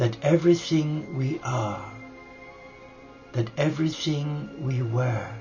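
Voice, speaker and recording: Over music in the background, a man with a fairly high pitch and ordinary pitch variation speaks at a very slow pace in a calm, soothing tone, leaving long, frequent pauses. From Cumbria, UK. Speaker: spiritual guide leading a nightly reflection and meditation. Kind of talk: guided spiritual meditation, soul reflection. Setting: live recording from a home monastery. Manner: slow, calm, soothing.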